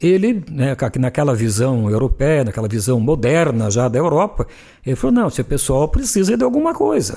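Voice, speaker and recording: Very wide pitch swings mark this man's dark, mellow, fairly high voice, delivered at a moderate pace. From Telêmaco Borba area, Paraná, Brazil. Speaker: journalist and radio broadcaster. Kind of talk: interview answer, reminiscing.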